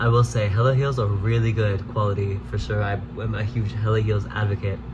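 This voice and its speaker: A man's fairly low voice at a moderate pace, with audible room echo and noticeable background noise. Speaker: dancer and vlogger. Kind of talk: casual vlog talk. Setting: at home. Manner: casual, filler-heavy speech; loud.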